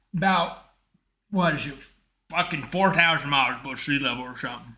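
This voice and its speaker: A man's fairly high voice with ordinary pitch variation, a fairly quick pace and big swings in loudness, plus audible room echo. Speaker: online community host. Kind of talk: casual chat. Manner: halting.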